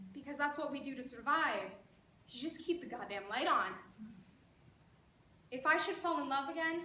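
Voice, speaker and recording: A woman's high, raised and projected voice with lively intonation and long, frequent pauses. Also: moderate pace. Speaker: spoken word poet; creative writing teacher. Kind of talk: spoken word poetry performance. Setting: live event.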